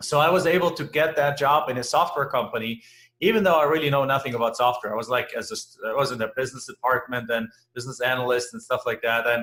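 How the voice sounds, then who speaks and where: In a German accent, a man speaks at a very fast pace. His fairly high voice has a bright, sharp tone and ordinary pitch variation. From Germany. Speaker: real estate investor. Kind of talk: interview.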